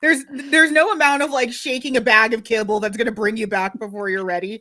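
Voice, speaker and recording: A woman talks at a very fast pace in a bright, sharp, animated tone, her fairly high pitch showing ordinary variation. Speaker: podcast co-host. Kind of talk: casual chat. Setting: live stream.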